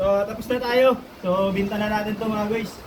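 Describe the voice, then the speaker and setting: Moderately paced speech comes with noticeable background noise and audible echo from the room. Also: man. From Philippines, Santa Catalina. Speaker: vlogger. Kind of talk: casual vlog narration. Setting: outdoors by the sea. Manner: animated.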